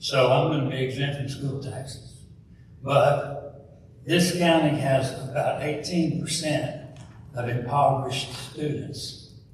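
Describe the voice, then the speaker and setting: This man's voice is fairly high in pitch and flat, almost monotone. He talks very slowly over noticeable background noise. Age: 70s. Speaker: public commenter, retiree. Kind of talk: public comment at board meeting.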